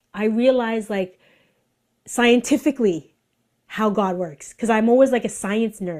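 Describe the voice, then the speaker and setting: On a very clean recording with a silent background, the speaker's animated tone carries ordinary pitch variation at a fairly slow pace. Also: woman, fairly high pitch for a woman. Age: 40s. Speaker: artist and influencer sharing faith testimony. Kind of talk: testimony.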